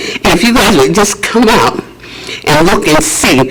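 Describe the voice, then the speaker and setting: A man talks at a fairly slow pace, his pitch swinging very widely, with noticeable background noise behind him. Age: 80s+. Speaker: public commenter, housing resident. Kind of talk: public comment at board meeting.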